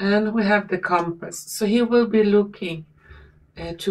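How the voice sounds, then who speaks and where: The speech moves at a very slow pace. Its pitch variation is ordinary. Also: woman. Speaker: tarot reader. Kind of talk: tarot reading commentary.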